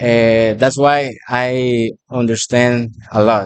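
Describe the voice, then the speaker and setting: A man talks in a Spanish accent. His pitch is medium. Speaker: restaurant worker interviewed by students. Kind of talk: casual interview. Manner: halting.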